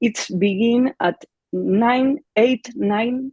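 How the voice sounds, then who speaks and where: A woman with an Argentine accent speaks at a very slow pace and a fairly high pitch, somewhat breathy and dark, mellow in tone, with lively intonation and a dry, close sound free of echo. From Argentina. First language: Spanish. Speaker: clarinet teacher. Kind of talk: panel discussion. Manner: halting.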